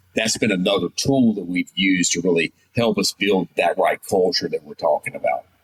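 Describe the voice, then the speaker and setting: A man speaks fairly quickly with an American accent. The sound is dry and close, with no echo. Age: 60s. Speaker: business owner. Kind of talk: interview.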